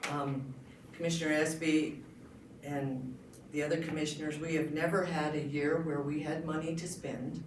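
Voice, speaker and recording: Over noticeable background noise and audible room echo, a woman speaks in a very deep, low pitch with monotone, flat intonation. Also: moderate pace. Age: 60s. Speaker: county commissioner candidate. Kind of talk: candidate forum speech.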